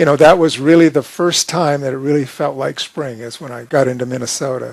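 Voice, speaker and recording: With noticeable background noise behind him, a man talks in a fairly high voice with ordinary pitch variation. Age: 60s. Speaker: long-distance bicycle rider. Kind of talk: interview storytelling. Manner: halting.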